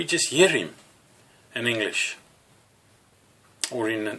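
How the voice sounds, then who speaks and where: Noticeable background noise runs throughout. The voice belongs to a man. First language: Afrikaans. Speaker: religious teacher. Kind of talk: teaching sermon to camera. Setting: alone talking to a camera. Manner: halting with fillers.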